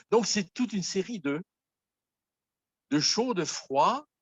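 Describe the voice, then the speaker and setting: A man is speaking. His pace is very slow. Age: 70s. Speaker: pastor. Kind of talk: sermon. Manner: halting.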